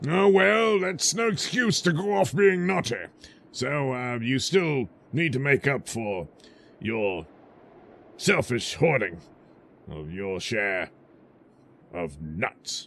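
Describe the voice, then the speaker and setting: A man's raspy, put-on character voice at medium pitch, very slow, with long, frequent pauses and very wide pitch swings. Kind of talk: comic overacting. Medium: audio drama. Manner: pompous, officious.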